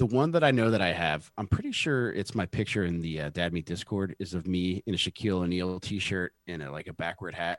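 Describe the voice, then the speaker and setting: Delivered at a fairly quick pace with hardly any pauses, the speech has ordinary pitch variation and a dry, close sound with no echo. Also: man, very deep, low pitch for a man. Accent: American. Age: 40s. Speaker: podcast co-host. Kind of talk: casual chat.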